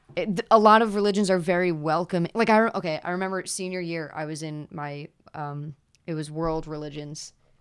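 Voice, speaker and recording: A woman with a plain, everyday voice and an American accent, fairly low in pitch with ordinary pitch variation, fairly quick in pace, with big swings in loudness. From Pennsylvania. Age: 20s. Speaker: guest, coworker and friend. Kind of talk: casual chat.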